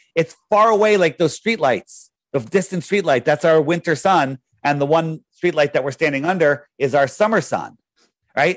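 In a dry sound with no echo and a quiet background, a man talks at a moderate pace with a fairly high pitch and ordinary pitch variation. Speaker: flat earth advocate and app developer; guest. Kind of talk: interview. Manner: talkative, runs on at length; self-described loud talker. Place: home room.

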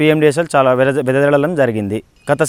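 This man has a plain, everyday voice at a fairly high pitch. His intonation is fairly even. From Nandyal district, Andhra Pradesh (Rayalaseema). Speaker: farmer. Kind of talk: testimony.

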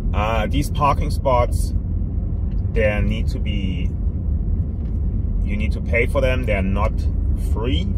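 Loud background noise fills a dry recording with no echo. The speech is very slow, with long, frequent pauses. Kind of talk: casual tour commentary. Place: car. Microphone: phone near.

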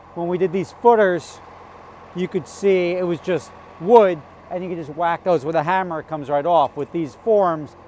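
A man with a high pitch and ordinary pitch variation talks at a moderate pace, the sound dry with no echo and light background noise behind him. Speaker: home builder vlogger. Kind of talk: casual vlog chat. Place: open country.

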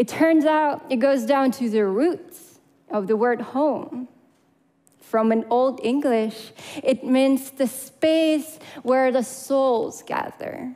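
Over a quiet background, the voice moves at a very slow pace with ordinary pitch variation. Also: woman, high pitch for a woman. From Crimea, Ukraine. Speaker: public speaker. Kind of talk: prepared talk. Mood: earnest, emotional. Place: stage. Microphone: headset.

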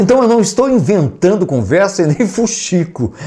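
Against a quiet background, a man's dark, mellow voice moves through very wide pitch swings. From Brazil. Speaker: YouTube music commentator. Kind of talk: casual vlog commentary. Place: home room. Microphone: lapel.

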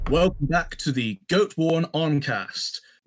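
This man talks at a very slow pace. His pitch varies in an ordinary way. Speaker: podcast host. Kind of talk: casual podcast intro.

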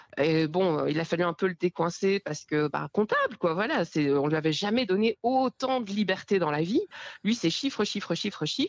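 A woman speaks at a moderate pace in a medium pitch, with lively intonation and a dry, close sound with no echo. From Belgium. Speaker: podcast listener calling in. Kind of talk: casual chat.

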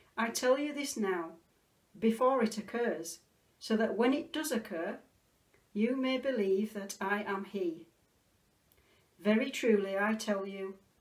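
Over a quiet background, a woman talks at a fairly slow pace with ordinary pitch variation and long, frequent pauses. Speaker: clergy reader. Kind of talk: scripture reading. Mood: calm, solemn. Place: home room. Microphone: phone near.

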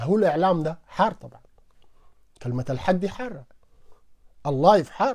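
Very wide pitch swings and big swings in loudness in a Sudanese accent, over a quiet background. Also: man, high pitch for a man, moderate pace. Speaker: political commentator. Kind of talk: live stream monologue. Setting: online live stream. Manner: animated. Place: home room. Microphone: lapel.

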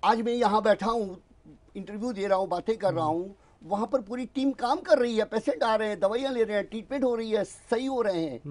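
A high-pitched man talks fairly quickly, his pitch moving in an ordinary way. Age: 70s. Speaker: alternative ear-treatment practitioner. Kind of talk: TV interview. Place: studio.

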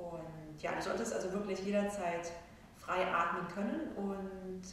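Over light background noise and strong room echo, the speaker talks at a fairly slow pace with fairly even intonation. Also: woman. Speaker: yoga instructor. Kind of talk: calm class introduction. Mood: calm, soothing. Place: hall. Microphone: camera far.

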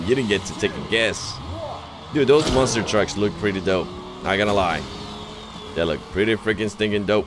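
A man talks at a moderate pace with a fairly low pitch and ordinary pitch variation. His speech has long, frequent pauses, and background noise is noticeable. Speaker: gaming YouTuber. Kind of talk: gameplay commentary. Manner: animated.

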